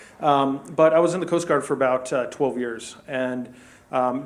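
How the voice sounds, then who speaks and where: Fairly quick speech from a man at a medium pitch, fairly even in intonation, over noticeable background noise. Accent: American. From US, rural Colorado. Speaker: e-commerce executive. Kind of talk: business presentation. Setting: event room with audience. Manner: hesitant, many fillers.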